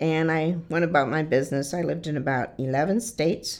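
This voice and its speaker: Over a quiet background, a woman with an American accent speaks at a fairly quick pace. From Michigan, Detroit area. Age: 60s. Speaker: shelter resident sharing life story, army veteran. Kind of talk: personal testimony.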